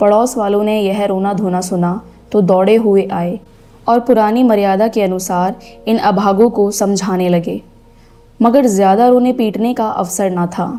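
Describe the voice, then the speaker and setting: Her pitch sits in the medium range for a woman. The intonation stays fairly even as she talks. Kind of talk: audiobook narration of a classic short story.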